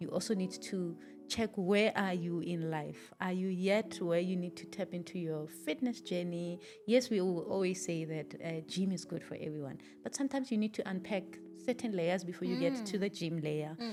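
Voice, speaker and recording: Over noticeable background noise, a woman speaks at a moderate pace in a fairly low voice with ordinary pitch variation. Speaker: podcast host. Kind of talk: podcast conversation.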